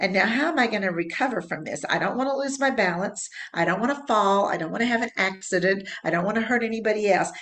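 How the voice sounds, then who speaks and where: Speaking very fast with hardly any pauses, a woman uses a medium pitch, an animated tone and lively intonation over noticeable background noise. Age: 70s. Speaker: fitness program creator and instructor. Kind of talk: interview.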